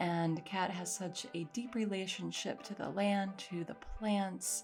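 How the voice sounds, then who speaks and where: Music plays in the background as the voice goes at a very slow pace with fairly even intonation. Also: woman, medium pitch for a woman. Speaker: podcast host. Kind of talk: podcast intro.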